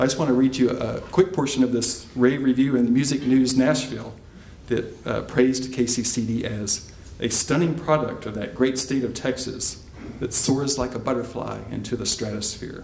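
Amid light background noise and audible room echo, a man talks at a moderate pace with fairly even intonation. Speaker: event host. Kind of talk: formal introduction. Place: hall. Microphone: podium.

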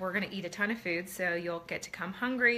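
At a fairly quick pace, a woman speaks with fairly even intonation. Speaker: home cooking product seller. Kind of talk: casual live stream chat. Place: kitchen. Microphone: phone near.

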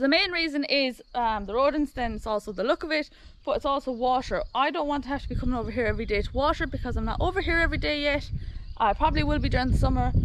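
A woman talks very fast in a high voice with ordinary pitch variation. The sound is dry with no echo, and background noise is noticeable. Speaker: farm vlogger. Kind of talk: casual vlog chat. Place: garden. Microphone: phone near.

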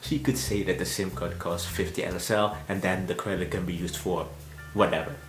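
A man's voice with audible room echo and faint music in the background. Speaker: travel vlogger. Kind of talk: informational vlog talk. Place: home room.

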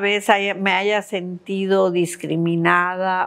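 Ordinary pitch variation marks this woman's speech. She talks very slowly. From Mexico City. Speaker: state health secretary, physician; interviewee. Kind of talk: interview. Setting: her office. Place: home room. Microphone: lapel.

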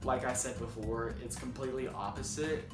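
Clear music plays behind the voice. A man talks at a moderate pace. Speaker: student vlogger. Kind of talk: casual vlog chat. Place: home room. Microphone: phone near.

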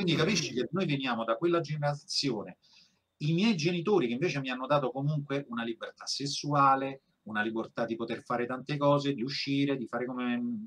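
This man has a fairly high pitch and talks at a fairly quick pace. It is an ordinary speaking voice with ordinary pitch variation. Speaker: voice actor. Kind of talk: interview answer.

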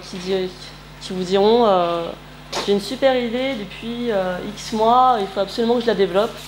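Against light background noise, a woman speaks very slowly with ordinary pitch variation. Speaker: presenter. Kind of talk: presentation talk. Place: meeting room. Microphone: camera far.

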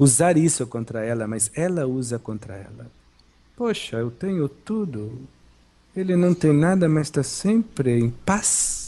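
A man speaks at a fairly slow pace with a fairly high pitch and very wide pitch swings. His tone is dark, mellow and calm, and somewhat breathy. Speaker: spiritual teacher / channeled monk. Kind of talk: spiritual talk.

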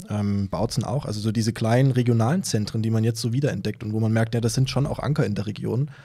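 Over a quiet background, a man talks very fast with hardly any pauses. His tone is dark, mellow and somewhat breathy, with fairly even intonation. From Saxony (Kamenz, Upper Lusatia); Saxony. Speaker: novelist; podcast guest. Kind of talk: conversational interview. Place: studio. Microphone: studio mic.

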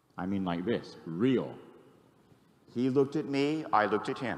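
A man speaks in an animated tone with very wide pitch swings. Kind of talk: sermon with call-and-response. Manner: animated, emphatic. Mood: calm, earnest. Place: church. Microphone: handheld.

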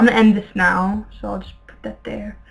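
A woman speaks in a medium pitch. Her voice is somewhat breathy. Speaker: gaming YouTuber. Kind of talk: gameplay commentary. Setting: home bedroom with webcam. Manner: animated.

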